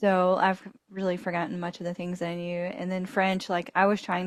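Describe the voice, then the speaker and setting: Speaking at a fairly quick pace, a woman has a Southern US accent. The recording is very clean, with a silent background. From Alabama, US South. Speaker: podcast co-host. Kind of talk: casual chat.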